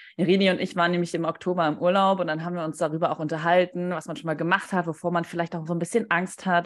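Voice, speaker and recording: In a very clean recording with a silent background, a woman speaks in a fairly low voice. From Stuttgart area, Germany. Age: 20s. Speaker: podcast co-host, marketing consultant. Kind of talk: casual chat.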